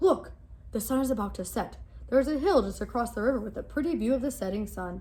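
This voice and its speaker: A woman uses a put-on character voice. She speaks at a very fast pace. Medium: read story.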